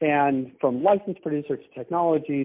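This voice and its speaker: This man has a fairly high pitch, ordinary pitch variation, and a plain, everyday voice. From US, Boston. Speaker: cannabis business founder. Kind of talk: casual interview.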